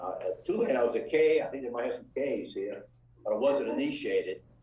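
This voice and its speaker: American accent from a man, with audible room echo. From New Orleans, Louisiana. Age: 70s. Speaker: restaurant family member. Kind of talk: lecture. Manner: halting.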